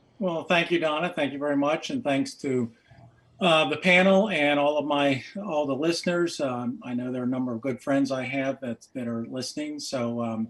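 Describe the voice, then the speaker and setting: A man speaks at a moderate pace with a fairly high voice over noticeable background noise. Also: ordinary pitch variation. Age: 70s. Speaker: economics professor. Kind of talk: presentation with slides. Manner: halting, many fillers.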